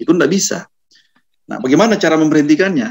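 The background is quiet. A man's pitch swings very widely. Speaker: constitutional law expert; panelist. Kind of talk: webinar talk. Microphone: webcam.

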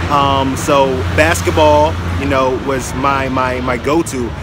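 A man speaks with a dry sound and no echo. Loud background noise fills the recording. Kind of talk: casual vlog chat. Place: street. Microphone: phone near.

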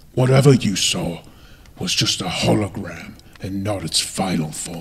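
A fairly low-pitched male voice at a fairly slow pace. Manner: calm, gentle, grave.

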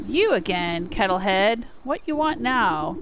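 In a put-on character voice, a female-sounding speaker cackles at medium pitch and a fairly slow pace over clear background noise. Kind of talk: broken, simple grammar. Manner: gruff, confrontational.

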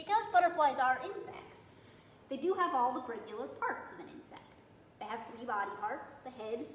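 A woman speaks in a high voice, with audible room echo. Light background noise sits behind her. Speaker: garden educator. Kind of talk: lecture. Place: classroom. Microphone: phone near.

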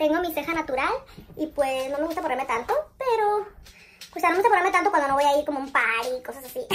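A woman speaks at a very fast pace with a high pitch. Her intonation is lively. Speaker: beauty vlogger. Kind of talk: casual makeup tutorial chat. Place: bathroom. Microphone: phone near.

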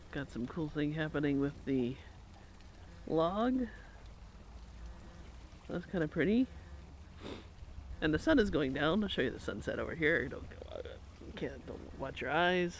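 The speech comes at a fairly slow pace with long, frequent pauses and lively intonation. Light background noise sits under a dry sound with no echo. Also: man. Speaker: vlogger. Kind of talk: casual vlog chat. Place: waterside. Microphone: phone near.

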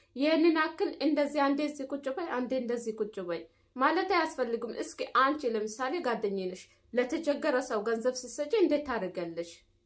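A woman's high-pitched voice carries lively intonation. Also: quiet background. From Ethiopia. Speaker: YouTuber, domestic worker in the Gulf; vlogger reacting to a video. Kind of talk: vlog monologue with advice. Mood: indignant, critical. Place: home room. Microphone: phone near.

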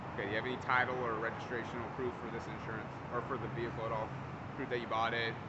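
A man speaks at a very fast pace amid loud background noise. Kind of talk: traffic stop questioning. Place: street. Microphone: camera far.

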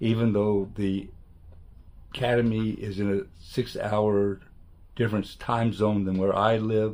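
A man speaks at a very slow pace with a fairly low pitch. His intonation is monotone and flat. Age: 70s. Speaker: retired photographer, art student. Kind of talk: testimonial talk to camera. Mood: calm, appreciative. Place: home room. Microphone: webcam.

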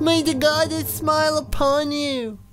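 A woman's put-on character voice at a moderate pace, with music in the background. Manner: solemn, put-on voice.

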